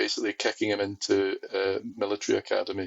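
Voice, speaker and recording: A man is speaking. He talks with a Scottish accent. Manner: casual, hesitant, with fillers.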